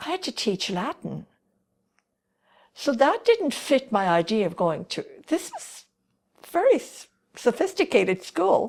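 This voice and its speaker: In an Irish accent, a woman with a high pitch talks at a fairly slow pace, with very wide pitch swings, big swings in loudness and long, frequent pauses. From Ireland. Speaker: retired teacher. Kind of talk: interview answer.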